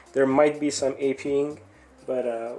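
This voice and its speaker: A man at medium pitch with fairly even intonation, music in the background. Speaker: board game designer and video host. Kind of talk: unboxing video. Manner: hesitant, many filler sounds.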